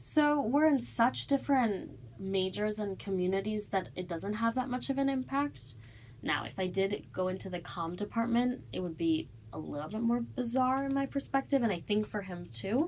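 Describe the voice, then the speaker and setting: A woman with an American accent speaks at a moderate pace, somewhat breathy, with very wide pitch swings. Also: medium pitch for a woman. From Evanston, Illinois, US Midwest. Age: young. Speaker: college student. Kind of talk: interview.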